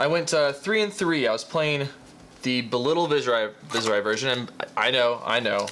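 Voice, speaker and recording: A man talks over noticeable noise in the background. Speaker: card game YouTuber. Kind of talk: casual unboxing commentary. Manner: fast.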